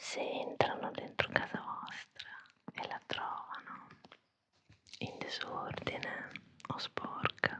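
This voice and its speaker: Someone whispers at a very slow pace with long, frequent pauses and big swings in loudness, set against noticeable background noise. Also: woman. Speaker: ASMR creator, storyteller. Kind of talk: ASMR whispered storytelling for sleep. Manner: soft, whispering, slow.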